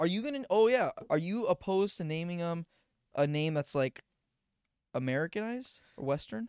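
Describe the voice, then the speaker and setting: A man with a high pitch speaks with very wide pitch swings and long, frequent pauses. The sound is dry with no echo, and the background is quiet. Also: moderate pace. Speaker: podcast co-host. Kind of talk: casual chat. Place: home room. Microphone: handheld.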